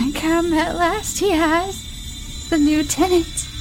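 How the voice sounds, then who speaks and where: A put-on character voice, strained and wheezy at an extremely high pitch, moves at a very slow pace over loud background noise. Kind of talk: archaic, inverted speech. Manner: shrill cackling, gleeful.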